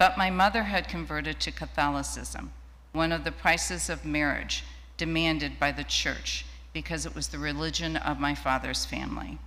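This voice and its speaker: A woman with an American accent at a moderate pace, with audible room echo. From Ohio, US Midwest. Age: 70s. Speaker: women's rights activist. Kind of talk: personal testimony in a worship service. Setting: church sanctuary, streamed live.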